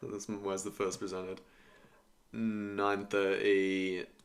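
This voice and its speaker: A man with a British accent speaks in a fairly low voice with a bright, sharp tone, recorded very cleanly against a silent background. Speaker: futures day trader streamer. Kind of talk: live trading stream commentary. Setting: live stream. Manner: casual, thinking aloud.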